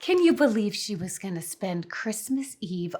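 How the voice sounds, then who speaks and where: A somewhat breathy woman's voice. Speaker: tipsy hostess and mother.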